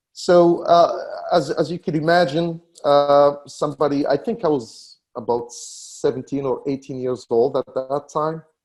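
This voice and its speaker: This man speaks with a North African accent. His fairly high voice moves at a fairly slow pace. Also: ordinary pitch variation. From Morocco. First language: Berber. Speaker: tech company founder. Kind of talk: interview. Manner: halting, many fillers and repetitions.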